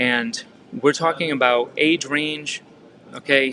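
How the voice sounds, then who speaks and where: A man's fairly high, bright, sharp voice with a Massachusetts accent. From Massachusetts, Fall River. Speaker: real estate coach. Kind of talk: training talk. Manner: casual, filler-heavy with repetitions.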